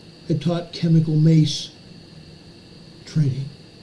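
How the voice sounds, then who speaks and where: Audible room echo surrounds this man's speech. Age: 60s. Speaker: emergency news commentator, retired police officer. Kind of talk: live stream commentary. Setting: home office live stream. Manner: casual.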